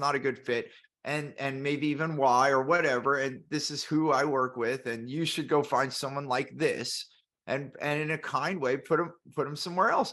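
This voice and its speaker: A loud man's voice, fairly high in pitch with a bright, sharp tone, at a moderate pace with ordinary pitch variation, over a quiet background. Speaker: business podcast host. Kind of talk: casual panel discussion.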